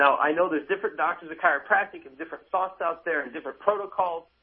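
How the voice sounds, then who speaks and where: A man with an American accent and a high pitch. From US. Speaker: chiropractor. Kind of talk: radio interview. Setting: remote line from Chicago. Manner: animated.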